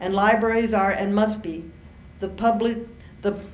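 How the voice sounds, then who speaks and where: Audible room echo around a woman's voice at a moderate pace. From US Southwest, Mexican-American family. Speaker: university diversity administrator. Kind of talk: keynote speech; Q&A answers. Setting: conference stage with audience. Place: hall. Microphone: podium.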